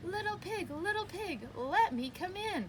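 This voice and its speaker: A woman's squeaky, put-on character voice at a moderate pace, with clear background noise. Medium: read story. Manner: falsely polite, scheming.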